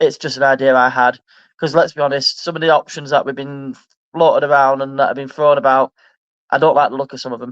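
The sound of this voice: A man speaks at a fairly quick pace in a medium pitch with a fairly bright tone and fairly even intonation, the sound dry and close with no echo.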